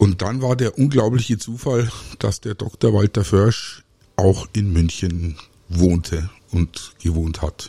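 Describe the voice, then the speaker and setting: Speaking at a very slow pace, a man sounds somewhat breathy, with ordinary pitch variation and a dry, close sound with no echo. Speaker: podcast host, aquarist. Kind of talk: solo podcast monologue. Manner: hesitant, many filler sounds.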